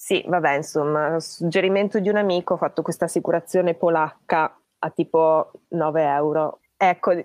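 An ordinary speaking voice from a woman, fairly low in pitch, at a moderate pace with ordinary pitch variation, dry and close with no echo, against a quiet background. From Trentino, Italy (born in Tuscany, moved at ten). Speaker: long-distance cycle traveller. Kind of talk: casual interview. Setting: live stream.

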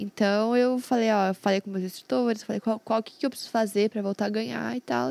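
In a plain, everyday voice, a woman speaks at a fairly quick pace and fairly high pitch with ordinary pitch variation, the sound dry and close with no echo. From Londrina, Paraná, Brazil. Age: 20s. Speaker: professional poker player, streamer, former taekwondo athlete. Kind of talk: casual chat.

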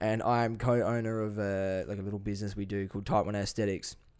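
Talking at a fairly quick pace, a man has a fairly low pitch and an unremarkable speaking voice. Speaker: fitness coach and podcaster. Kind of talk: animated rant, talking over co-host. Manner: excitable, fast, interrupting.

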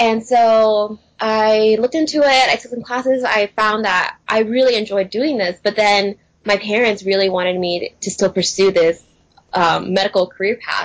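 A woman with a plain, everyday voice and an American accent speaks at a fairly high pitch and moderate pace, with ordinary pitch variation. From Texas (Houston). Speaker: graphic and web designer. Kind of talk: casual interview chat.

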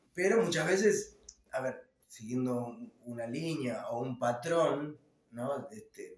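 A man talks at a fairly slow pace with lively intonation, and audible room echo surrounds his voice. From Argentina, Ituzaingó, Buenos Aires conurbano. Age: 40s. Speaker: rock musician, guitarist and songwriter. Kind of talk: casual interview.

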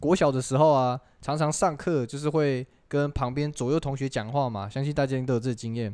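A plain, everyday voice speaks at a fairly quick pace with fairly even intonation. The background is quiet. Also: man, fairly high pitch for a man. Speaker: podcast host. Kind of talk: casual chat.

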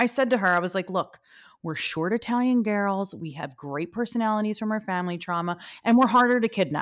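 A woman with an American accent has an ordinary speaking voice at medium pitch with ordinary pitch variation. The recording is very clean with a silent background. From Philadelphia, US. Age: 40s. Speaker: podcast host. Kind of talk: casual chat.

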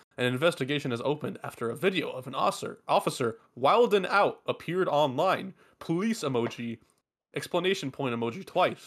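Doing a put-on robotic character voice, a man speaks at a fairly quick pace with fairly high pitch and lively intonation. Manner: robotic, reading emoji aloud.

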